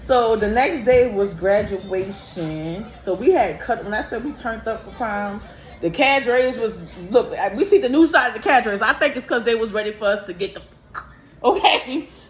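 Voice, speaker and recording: Noticeable background noise sits behind a woman with a fairly high pitch. She talks at a moderate pace with lively intonation. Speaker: beauty vlogger and lash tech. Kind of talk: storytime vlog while doing makeup. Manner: loud; animated.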